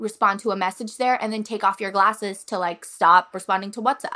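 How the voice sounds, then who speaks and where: A woman's very fast speech, with fairly even intonation and a bright, sharp tone. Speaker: podcast co-host. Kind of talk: casual chat.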